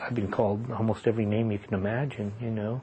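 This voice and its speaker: Somewhat breathy and dark, mellow in tone, a man's fairly low voice moves at a moderate pace with fairly even intonation. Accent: American. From US Pacific Northwest, Seattle. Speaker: retired educator and activist. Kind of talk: oral history interview.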